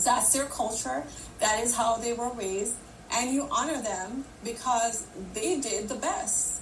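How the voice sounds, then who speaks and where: With lively intonation, a woman with a fairly high pitch speaks at a fairly slow pace, with audible room echo and noticeable background noise. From Jamaica. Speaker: leadership coach and keynote speaker. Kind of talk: live audio room discussion. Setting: LinkedIn live audio room.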